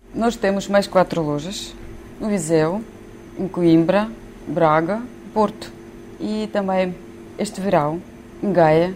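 Over noticeable background noise, a woman speaks very slowly in a fairly low pitch, leaving long, frequent pauses. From Ukraine. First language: Ukrainian or Russian (speaking Portuguese). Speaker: shop manager. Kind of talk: interview. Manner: halting.

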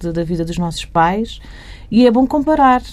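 A woman with a medium-pitched voice speaks at a fairly slow pace, her intonation lively and her tone dark and mellow. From Portugal, Barreiro. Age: 40s. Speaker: journalist and editor. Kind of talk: interview.

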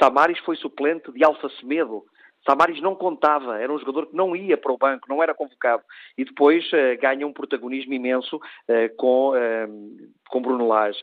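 In an ordinary speaking voice, a man talks at a moderate pace. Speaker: sports journalist. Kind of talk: radio analysis. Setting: phone call. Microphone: bad phone line, dropping out.

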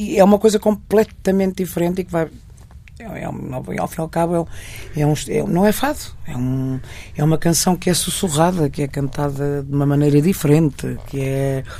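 A woman with a very deep, low voice speaks at a moderate pace with ordinary pitch variation. Her loudness swings widely, and there is noticeable background noise. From Portugal, Marinha Grande and Porto. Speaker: fado singer. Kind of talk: interview. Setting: radio studio. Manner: halting.

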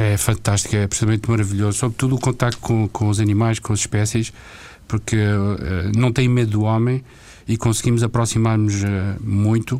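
With a dark, mellow tone, a man speaks at a fairly quick pace in monotone, flat intonation, keeping very even loudness while taking long, frequent pauses. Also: medium pitch for a man. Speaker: retired executive, diving school owner. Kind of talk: radio interview. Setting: studio.

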